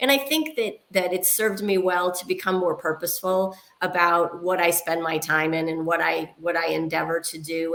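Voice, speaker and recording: Over noticeable background noise, a woman talks at a moderate pace with a fairly low pitch. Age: 60s. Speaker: technology executive and board member. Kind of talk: interview.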